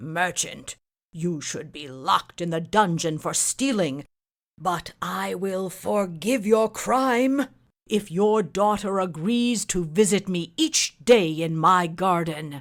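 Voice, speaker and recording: A put-on character voice, growling at a middle pitch and a fairly slow pace. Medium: read story.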